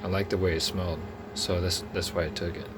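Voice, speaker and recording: There is noticeable background noise. Through it comes a man's fairly low voice. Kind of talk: casual talk to camera. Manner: casual, rambling, with filler words.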